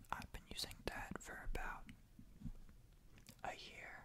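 A man whispering. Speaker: ASMR creator. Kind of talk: ASMR sleep tips. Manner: whispered; calm, soft-spoken. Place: home room. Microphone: studio mic.

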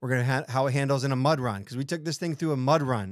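The man talks at a very fast pace with ordinary pitch variation, in a dry sound with no echo and a quiet background. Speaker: off-road vehicle reviewer. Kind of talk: casual product review. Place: studio. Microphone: studio mic.

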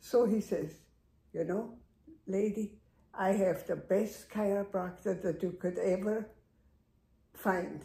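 In a room with audible echo, a woman speaks at a very slow pace with long, frequent pauses, her somewhat breathy, dark, mellow voice held in a monotone, flat intonation. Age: 80s. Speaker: longtime patient. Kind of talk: interview. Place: home room. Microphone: camera far.

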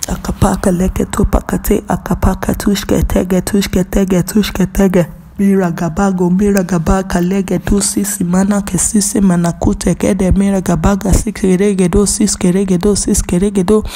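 A woman speaks in a flat monotone with very even loudness and hardly any pauses. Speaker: prayer leader praying in tongues. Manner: passionate and fervent, building in rhythm. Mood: fervent, devotional. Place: hall. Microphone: handheld.

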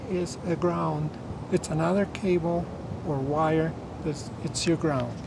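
Through noticeable background noise, a man talks at a very slow pace with long, frequent pauses, the sound dry with no echo. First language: not English. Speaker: retired electrical engineer. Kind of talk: casual technical explanation outdoors. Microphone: camera far.

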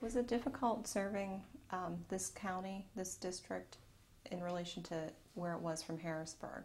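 A somewhat breathy woman at a moderate pace, with ordinary pitch variation and light background noise. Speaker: oral history interviewer. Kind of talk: interview. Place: office.

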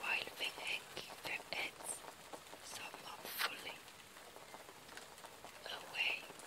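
Someone whispers. The pace is very slow. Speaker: poetry reader. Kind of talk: poetry reading. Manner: whispered.

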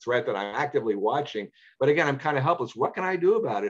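Against a quiet background, a man talks in a New York accent. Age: 60s. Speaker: parrot enthusiast and speaker; presenter. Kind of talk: illustrated talk with Q&A. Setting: video call. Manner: articulate; entertaining. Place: home room. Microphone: webcam.

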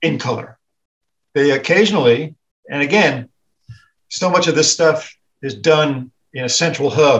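A man's fairly high, somewhat breathy voice at a fairly slow pace, with ordinary pitch variation, long, frequent pauses and a quiet background. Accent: American. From US South. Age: 60s. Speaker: editorial cartoonist; guest. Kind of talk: casual chat. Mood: relaxed, reflective. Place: home room. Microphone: video call.

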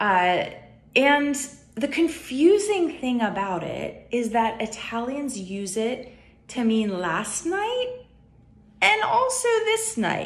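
A woman with an American accent, high-pitched, very wide pitch swings, very slow pace. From United States. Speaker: YouTuber. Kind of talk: casual vlog talk. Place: home room. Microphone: phone near.

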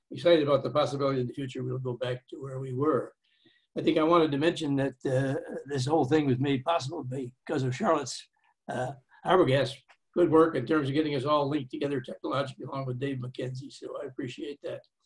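Someone talks at a very fast pace, somewhat breathy, with fairly even intonation over a quiet background. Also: man. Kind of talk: opening remarks speech. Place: home room. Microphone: webcam.

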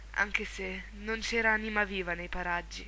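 The woman talks at a fairly slow pace. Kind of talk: horror story reading.

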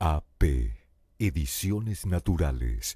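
A man has a dark, mellow tone. His voice is somewhat breathy. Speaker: voice-over announcer. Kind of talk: promotional voice-over. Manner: emphatic.

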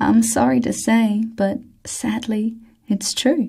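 A soft-spoken woman with a fairly high pitch and a dark, mellow, somewhat breathy tone talks at a very slow pace. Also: quiet background. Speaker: ASMR reader. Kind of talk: ASMR book reading. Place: studio.

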